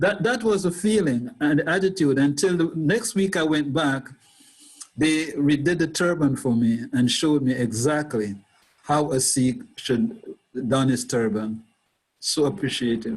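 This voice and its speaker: A man with a fairly high pitch speaks at a moderate pace, somewhat breathy and very even in loudness. His pitch swings very widely, and he takes long, frequent pauses. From Jamaica. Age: 70s. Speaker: Sikh convert sharing life story. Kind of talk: interview.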